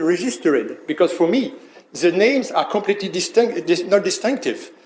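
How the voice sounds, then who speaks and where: Speaking with a non-native accent, a man uses a high pitch with very wide pitch swings. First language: not English. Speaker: trademark attorney. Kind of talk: conference presentation. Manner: halting, many fillers.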